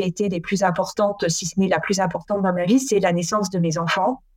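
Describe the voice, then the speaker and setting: Noticeable background noise runs under this recording. A woman speaks at a medium pitch with ordinary pitch variation. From France. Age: 40s. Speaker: former naval officer and local politician. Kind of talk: interview. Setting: at home. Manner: halting, many repetitions.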